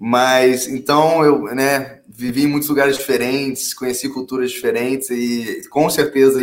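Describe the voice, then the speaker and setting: A man's plain, everyday voice at medium pitch, with fairly even intonation. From Brasília, Brazil, with childhood abroad (London, Hong Kong). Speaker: startup founder and CEO. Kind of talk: interview.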